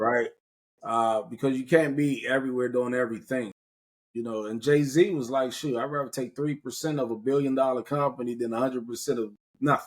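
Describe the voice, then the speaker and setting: A man speaks fairly quickly at medium pitch. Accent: American. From US Mid-Atlantic, Prince George's County, Maryland. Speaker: podcast host. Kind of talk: casual conversational interview. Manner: animated.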